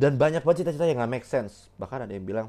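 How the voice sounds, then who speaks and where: Against a quiet background, the speaker rushes along at a very fast pace in an animated tone with lively intonation. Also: man. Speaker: solo podcast host, film reviewer. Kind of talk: casual solo film review monologue. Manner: animated, heavy Indonesian-English code-switching.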